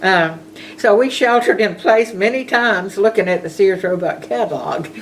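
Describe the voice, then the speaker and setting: A woman with a Southern US accent at a medium pitch and a moderate pace, with lively intonation and noticeable background noise. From US South, rural Georgia (Bulloch County). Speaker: storyteller recounting her life. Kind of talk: personal reminiscence. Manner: casual.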